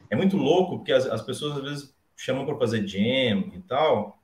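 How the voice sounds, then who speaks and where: Very wide pitch swings mark this man's fairly high voice. He talks at a fairly slow pace. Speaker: bassist and bass teacher. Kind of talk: casual chat. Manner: halting.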